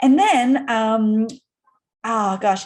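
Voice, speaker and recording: With an Australian accent, the speaker talks against a quiet background. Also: woman. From Australia, Sydney. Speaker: entrepreneur. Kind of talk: interview. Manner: casual, with many fillers.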